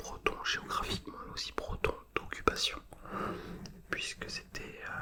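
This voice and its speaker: A man whispering at a fairly slow pace over noticeable background noise. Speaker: ASMR content creator. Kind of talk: casual storytelling about a travel memory and history. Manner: soft, close-mic whispered delivery.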